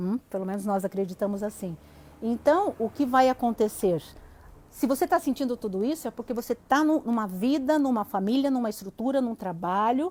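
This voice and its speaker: A woman speaks in a plain, everyday voice at a moderate pace. Her pitch is fairly high, with lively intonation. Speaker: psychologist. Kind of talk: live stream talk. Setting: online live stream.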